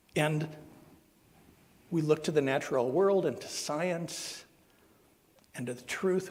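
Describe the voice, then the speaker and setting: Vocal fry marks this man's American accent. He speaks at a fairly high pitch with lively intonation. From Southern Ohio. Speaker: minister. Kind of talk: sermon. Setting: church service. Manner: halting.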